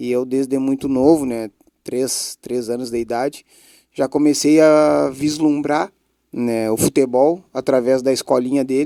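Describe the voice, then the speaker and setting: With a southern Brazilian accent, a man talks at a fairly slow pace and medium pitch, his dark, mellow tone and fairly even intonation captured in a dry, close sound with no echo. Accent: gaúcho Portuguese. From Brazil, Bagé, Rio Grande do Sul. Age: 40s. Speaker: former footballer, club director. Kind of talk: interview.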